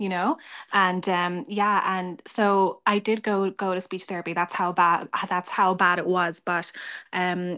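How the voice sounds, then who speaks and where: In a quiet setting, a woman with a medium-pitched voice speaks fairly slowly in a flat monotone. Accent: Irish. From Ireland. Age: 20s. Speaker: audience member who stutters. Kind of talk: testimony.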